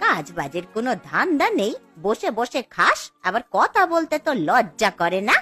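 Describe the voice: A woman's cartoonish character voice, fairly high and fairly bright with a slightly husky edge, with big pitch swings at a moderate pace over faint background music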